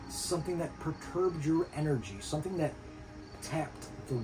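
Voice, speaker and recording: Speaking at a fairly quick pace with ordinary pitch variation, a man is heard over background music, with audible room echo. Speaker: spiritual teacher. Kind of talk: casual monologue. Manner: halting.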